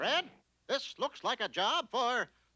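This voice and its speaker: A cartoonish character voice over a quiet background. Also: fairly high pitch. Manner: pompous, declamatory.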